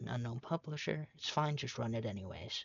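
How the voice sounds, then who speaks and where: Speaking quietly, a man with a medium pitch sounds somewhat breathy. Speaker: tutorial maker. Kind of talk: tutorial. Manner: hesitant, many fillers.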